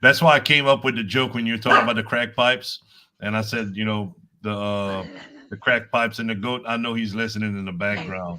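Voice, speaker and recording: Bright and sharp in tone, a man's medium-pitched voice moves at a fairly quick pace with fairly even intonation. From Louisiana (Cajun). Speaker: livestream co-guest. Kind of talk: casual chat.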